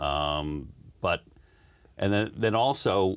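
A man talks at a very slow pace with a very deep, low pitch. There is vocal fry and his intonation is lively. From US, moved around the South (Maryland, Florida). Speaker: community radio co-host. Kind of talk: casual interview.

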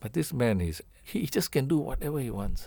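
In a very clean recording with a silent background, a man speaks at a moderate pace with a dark, mellow tone and vocal fry. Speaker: musician. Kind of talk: interview.

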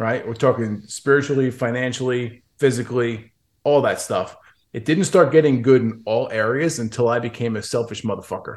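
A man with a normal speaking voice talks at medium pitch and a moderate pace with fairly even intonation. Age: 40s. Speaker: business coach. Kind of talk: casual interview chat.

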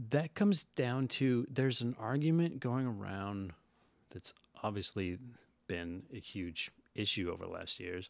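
With an ordinary speaking voice, a man talks fairly slowly at a medium pitch, his intonation lively. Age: 40s. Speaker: podcast guest. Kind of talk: casual chat.

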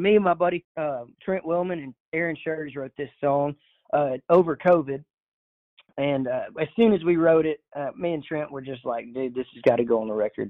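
A man with an American accent speaks at a fairly quick pace in a fairly high voice. His loudness swings widely while his pitch varies in an ordinary way. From Texas, Orange (southeast Texas). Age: 20s. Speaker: country singer-songwriter. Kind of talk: casual interview.

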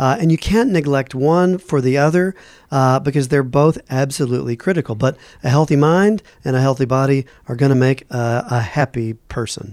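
A man with an unremarkable speaking voice, a fairly high pitch, ordinary pitch variation, a moderate pace and very even loudness. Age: 50s. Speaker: physician radio co-host. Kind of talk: radio interview.

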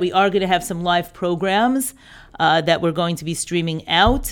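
An American accent marks this woman's speech at a moderate pace. She has an unremarkable speaking voice, recorded very cleanly with a silent background. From New York. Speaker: director of a women's education program. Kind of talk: interview.

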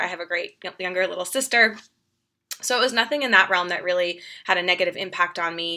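A woman's medium-pitched, bright, sharp voice at a fairly quick pace, with ordinary pitch variation. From Boston suburbs, Massachusetts. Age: 30s. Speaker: nutrition practitioner and women's health coach. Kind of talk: interview, personal story.

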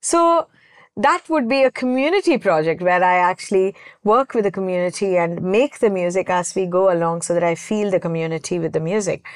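A woman with a plain, everyday voice speaks at a fairly quick pace in a medium pitch with ordinary pitch variation, the sound dry and close with no echo against a quiet background. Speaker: composer. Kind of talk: casual interview.

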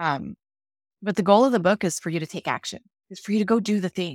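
A woman with a Canadian accent speaks in a normal speaking voice at medium pitch, fairly quick pace and ordinary pitch variation. The recording is very clean with a silent background, dry and close with no echo. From Canada. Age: 40s. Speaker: author and leadership advisor. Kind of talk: interview conversation.

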